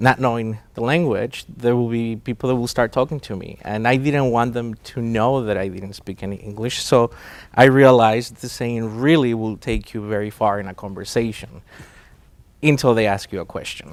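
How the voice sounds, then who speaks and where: In a Spanish accent, a man with a medium pitch speaks on a very clean recording with a silent background. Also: ordinary pitch variation, moderate pace. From Mexico. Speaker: catering company president. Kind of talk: interview. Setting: studio. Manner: hesitant, many fillers.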